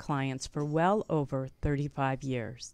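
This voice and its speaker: A woman is the speaker. Her voice sits very deep and low in pitch. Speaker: health and wellness show host. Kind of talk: live radio interview. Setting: studio. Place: studio. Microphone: studio mic.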